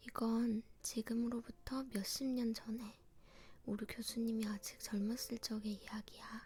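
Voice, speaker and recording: The voice is soft-spoken and whispering, moving at a fairly slow pace. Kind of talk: scary story retold in informal speech. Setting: quiet home recording setup. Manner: soft, non-whispered, intimate.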